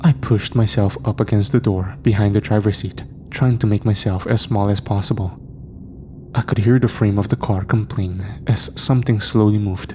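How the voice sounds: The tone is dark and mellow, with fairly even intonation. The pace is moderate. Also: man, fairly low pitch for a man.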